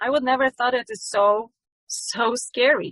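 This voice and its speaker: In a Polish accent, a woman with a fairly high pitch and ordinary pitch variation speaks at a fairly slow pace, the sound dry and close with no echo. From Poland. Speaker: yoga teacher. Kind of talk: testimony. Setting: ministry event. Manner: halting.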